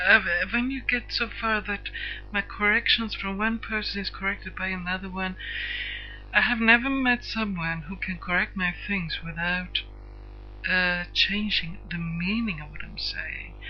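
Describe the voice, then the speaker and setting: Over music in the background, a woman with a Swedish accent speaks at a fairly slow pace. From Sweden. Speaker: internet radio host. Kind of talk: personal introduction monologue. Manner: halting, many hesitations; stiff.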